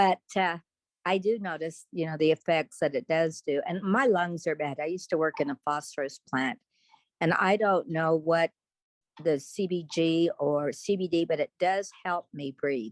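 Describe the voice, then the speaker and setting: A woman's plain, everyday voice at a moderate pace, with ordinary pitch variation and a dry, close sound free of echo. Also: fairly low pitch for a woman. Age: 60s. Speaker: parent. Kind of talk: testimony.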